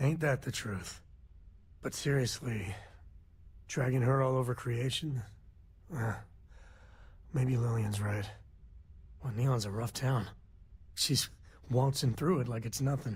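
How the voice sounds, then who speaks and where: Using a put-on character voice, a raspy man at medium pitch speaks at a fairly slow pace with long, frequent pauses and ordinary pitch variation. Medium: video game. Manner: laid-back, wry.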